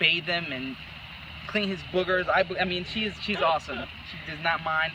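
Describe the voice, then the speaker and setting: Noticeable background noise behind a high-pitched male voice. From El Salvador, San Salvador. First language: Spanish. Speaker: couple applicant. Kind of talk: casual interview.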